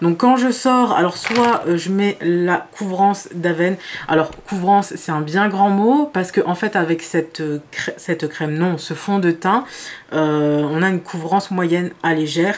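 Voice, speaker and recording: This woman's fairly low pitch shows ordinary pitch variation as she talks at a fairly slow pace. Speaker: beauty youtuber. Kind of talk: makeup tutorial. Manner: hesitant, many fillers.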